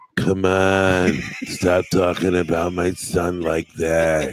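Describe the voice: In a put-on character voice, a man speaks very slowly and raspily, his very deep, low pitch held in a flat monotone.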